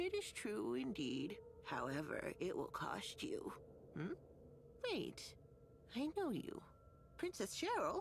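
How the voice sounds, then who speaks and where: Using a put-on character voice, a woman speaks fairly slowly with very even loudness and long, frequent pauses over clear background noise. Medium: video game. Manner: sugary, calls others dearie.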